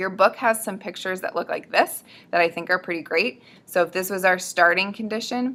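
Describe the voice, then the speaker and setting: A woman talks at a fairly quick pace in a medium pitch, her tone bright and sharp and her pitch variation ordinary. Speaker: student presenter explaining biology. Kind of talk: educational tutorial. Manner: fast; casual, with many fillers.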